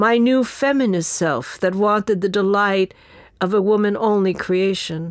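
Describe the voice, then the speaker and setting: With a New York accent, a woman speaks at a medium pitch and moderate pace with ordinary pitch variation in a very clean recording over a silent background. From New York, the Bronx. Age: 70s. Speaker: writer and activist. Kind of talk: reading aloud.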